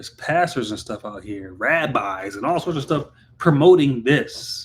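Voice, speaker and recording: On a very clean recording with a silent background, a man talks in a medium pitch with an animated tone. His pitch swings very widely at a moderate pace. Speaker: podcast host. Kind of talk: opinion commentary. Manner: loud.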